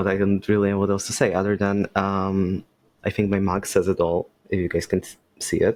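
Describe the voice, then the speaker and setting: Speaking at a fairly quick pace, a man uses a fairly low pitch and a monotone, flat intonation. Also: big swings in loudness. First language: Polish. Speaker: podcast guest, game designer. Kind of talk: casual chat. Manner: halting.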